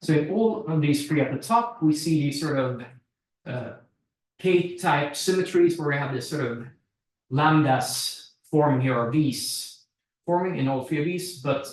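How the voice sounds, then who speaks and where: In a room with audible echo, a man with a fairly high pitch and ordinary pitch variation sounds somewhat breathy. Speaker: researcher presenting at workshop. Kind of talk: technical presentation; Q&A answer.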